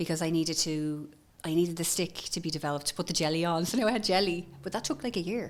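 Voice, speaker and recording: Talking very fast in a Dublin accent, a woman uses a fairly low pitch with ordinary pitch variation. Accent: Dublin Irish. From Ireland, Dublin north side. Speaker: entrepreneur, former pharmacist. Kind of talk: podcast interview.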